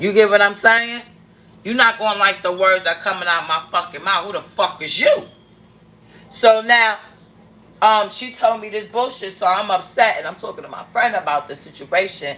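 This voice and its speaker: Bright and sharp in tone, the voice sounds animated, with big swings in loudness. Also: woman, medium pitch for a woman, ordinary pitch variation, moderate pace. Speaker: vlogger. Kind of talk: casual chat.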